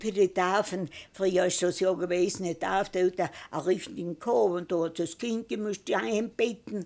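On a very clean recording with a silent background, a woman speaks with a strong East Tyrolean accent at a medium pitch. Her pace is moderate and her pitch variation ordinary. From East Tyrol, Austria. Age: 90s. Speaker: retired mountain farmer and conservation activist. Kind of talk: life story interview. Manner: halting.

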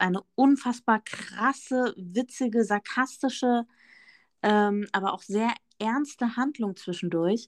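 Speaking at a very slow pace, a woman comes through a very clean recording with a silent background and a dry, close sound with no echo. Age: 30s. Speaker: podcast co-host, dog owner with therapy dog. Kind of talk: casual chat.

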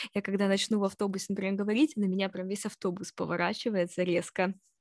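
An ordinary speaking voice with fairly even intonation comes through with a dry, close sound and no echo. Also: woman. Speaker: podcast co-host. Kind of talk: casual chat.

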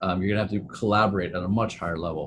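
A man's fairly low, somewhat breathy voice at a very fast pace, with ordinary pitch variation. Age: 40s. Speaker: entrepreneur and sustainability consultant. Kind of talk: casual interview.

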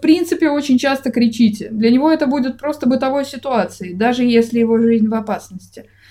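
Speaking at a moderate pace, a woman uses a high pitch, a dark, mellow tone, and ordinary pitch variation. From Russia. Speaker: podcast co-host. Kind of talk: casual chat.

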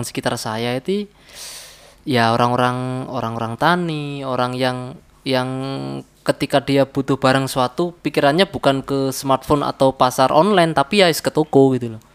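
A man's medium-pitched voice at a moderate pace, dry and close with no echo, over noticeable background noise. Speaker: podcast guest, trader. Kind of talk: casual chat. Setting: indoor room, heavy rain outside.

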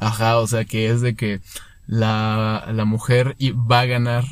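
The man has an ordinary speaking voice at medium pitch with fairly even intonation. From Mexico, Querétaro. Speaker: podcast co-host. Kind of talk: casual chat.

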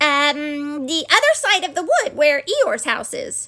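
In a squeaky, put-on character voice, someone speaks at a fairly slow pace with a timid, anxious tone and very wide pitch swings. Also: woman, extremely high pitch for a woman. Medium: read story.

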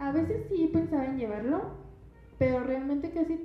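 A woman speaks with lively intonation. Audible room echo and noticeable background noise surround her. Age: 20s. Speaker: university student and mother. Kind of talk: testimony.

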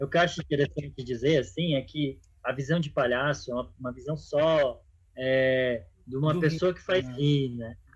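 A man's fairly high voice at a moderate pace, with ordinary pitch variation, big swings in loudness, and noticeable background noise. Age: 30s. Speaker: clown and NGO finance manager. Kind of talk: casual interview. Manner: halting.

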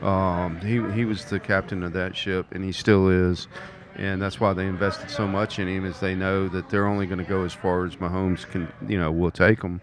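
A man talks at a fairly quick clip in a monotone, flat intonation. Noticeable background noise sits behind him. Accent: American. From US South, Mobile, Alabama. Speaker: sports fan co-commentator. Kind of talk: casual sports talk. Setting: live at a bar.

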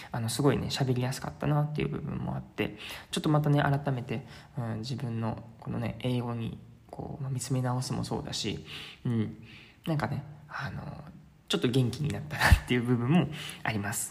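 In a room with audible echo, a man talks at a fairly quick pace and medium pitch, relaxed in tone, with ordinary pitch variation and vocal fry. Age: 20s. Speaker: travel podcaster. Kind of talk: casual solo monologue. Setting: staying at a host family's house in Sintra. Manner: filler-heavy, relaxed. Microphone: strong echo.

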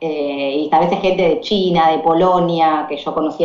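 A woman's very deep, low voice with an Argentine accent and fairly even intonation, plus audible room echo. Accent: Argentine Spanish (Rioplatense, voseo). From Argentina. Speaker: English teacher and volunteer traveller. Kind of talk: interview.

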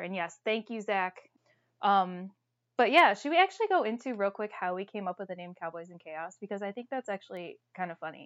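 A plain, everyday voice with an American accent and ordinary pitch variation. The loudness swings widely. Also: woman. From Toledo, Ohio. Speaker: podcast co-host. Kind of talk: casual chat.

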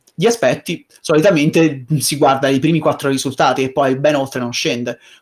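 An ordinary speaking voice from a man, medium in pitch with ordinary pitch variation, on a very clean recording with a silent background. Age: 20s. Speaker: voice actor / YouTuber. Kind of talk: casual interview chat.

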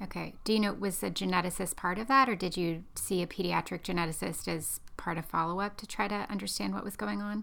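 The voice races at a very fast pace with hardly any pauses. Its tone is bright and sharp, with vocal fry and ordinary pitch variation. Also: woman, medium pitch for a woman. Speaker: podcast host, genetic counselor. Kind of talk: interview.

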